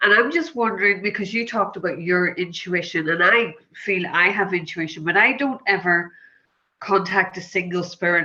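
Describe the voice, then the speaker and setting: A woman's medium-pitched, bright, sharp voice with a Northern Irish accent, fairly even intonation and a moderate pace. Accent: Northern Irish, lyrical. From Northern Ireland. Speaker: audience member, hypnotherapist. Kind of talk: asking a question in Q&A.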